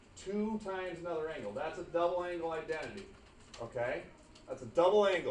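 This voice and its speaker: Over noticeable background noise and audible room echo, a man talks very fast in a high voice with ordinary pitch variation. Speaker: math teacher. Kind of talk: classroom lecture. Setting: classroom.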